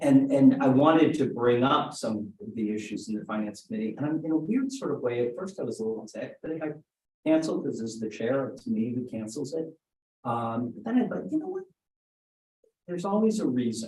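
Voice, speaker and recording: Lively intonation marks this man's fairly high-pitched, somewhat breathy voice. He talks at a fairly quick pace. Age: 60s. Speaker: council member. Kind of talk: public meeting discussion. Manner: halting, stuttering repetitions.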